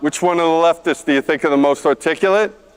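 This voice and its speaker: A fairly high-pitched man with a New York accent and ordinary pitch variation. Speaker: conference co-host, board member. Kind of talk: stage presentation. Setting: stage with audience.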